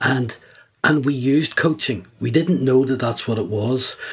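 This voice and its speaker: A man's somewhat breathy voice at a moderate pace, with ordinary pitch variation. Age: 70s. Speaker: executive coach. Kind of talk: podcast interview.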